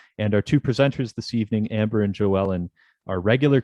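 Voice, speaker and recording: Very fast and fairly low-pitched, a man speaks with a Canadian accent and ordinary pitch variation. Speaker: webinar host, magazine editor. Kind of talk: webinar introduction. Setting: online webinar. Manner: casual, digressive.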